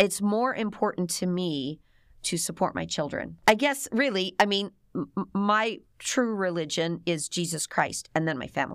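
A woman speaks with an American accent at a moderate pace. Her medium-pitched voice has lively intonation. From US Midwest, Cleveland, Ohio. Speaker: mother of adult children. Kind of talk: interview. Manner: halting.

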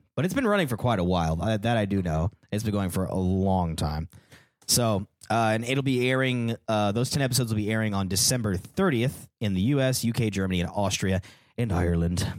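A man speaks fairly quickly in a fairly low voice, with ordinary pitch variation. His loudness stays very even, and it is an unremarkable speaking voice. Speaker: podcast co-host. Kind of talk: casual banter, comedic chat.

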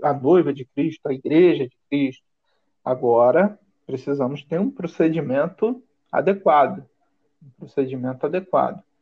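A man talks fairly slowly, his intonation lively. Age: 30s. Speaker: pastor. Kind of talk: casual chat.

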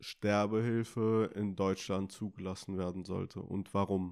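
A man at a very slow pace with monotone, flat intonation, over a very clean recording with a silent background. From Karlsruhe, Germany. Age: 20s. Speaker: podcast host and nurse. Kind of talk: interview. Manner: hesitant, many fillers.

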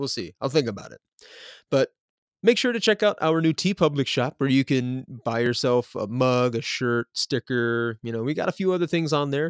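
A man with an American accent speaks at a moderate pace in an unremarkable speaking voice, his pitch medium and his intonation lively. The sound is dry and close with no echo, and the recording is very clean over a silent background. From US South, Nashville, Tennessee. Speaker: podcast host. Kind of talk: casual chat; true crime narration.

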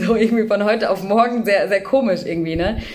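A woman talks fairly quickly in a space with audible room echo while noticeable background noise carries on behind her. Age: 20s. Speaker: social worker and mother with OCD. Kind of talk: personal testimony in interview.

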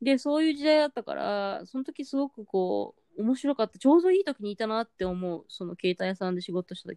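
Recorded dry and close with no echo, a woman with a dark, mellow tone and fairly high pitch talks at a fairly quick pace with hardly any pauses, very wide pitch swings and big swings in loudness. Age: 40s. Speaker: podcast co-host. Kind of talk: casual chat.

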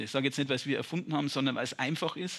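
A man speaks with a fairly high pitch. The recording is very clean, with a silent background. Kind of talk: casual interview. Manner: plain-spoken, informal.

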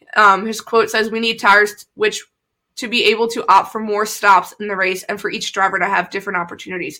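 With a Philadelphia accent, a woman talks at a very fast pace in a medium pitch, with big swings in loudness. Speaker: podcast co-host. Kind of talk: casual chat.

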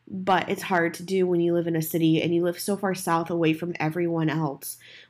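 Her voice fairly low, a woman with a plain, everyday voice speaks at a moderate pace on a very clean recording with a silent background. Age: 20s. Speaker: podcast host. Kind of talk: casual solo podcast monologue. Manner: rambling, self-correcting.

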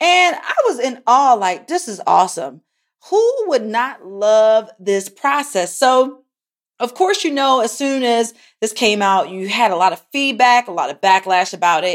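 A woman with a Baltimore accent, fairly slow, with very wide pitch swings on a very clean recording with a silent background. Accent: Baltimore American English. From Baltimore, US. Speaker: podcast host, tech entrepreneur. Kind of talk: casual solo podcast monologue, product review.

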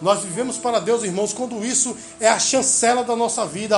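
Noticeable background noise sits behind this speaker. He is a man with an extremely high pitch. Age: 40s. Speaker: pastor. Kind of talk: sermon. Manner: halting.

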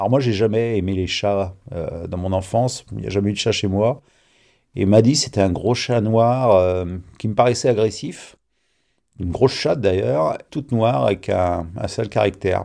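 At a fairly slow pace, the voice shows ordinary pitch variation. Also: man, fairly low pitch for a man. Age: 50s. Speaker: interviewee, homeowner telling a neighbour story. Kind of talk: personal storytelling. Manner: halting, with repetitions and fillers.

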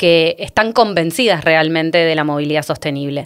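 The woman's intonation is lively. Her pace is moderate. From Argentina. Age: 30s. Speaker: urban cycling expert. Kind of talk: podcast interview discussion. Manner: halting with frequent repetitions.

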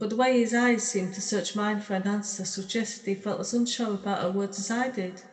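Text is being read out. The voice sounds unforced.

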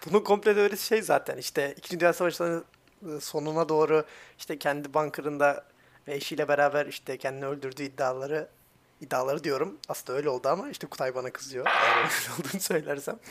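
A man's normal speaking voice, fairly high in pitch and fairly quick, with ordinary pitch variation. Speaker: podcast co-host. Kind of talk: casual chat.

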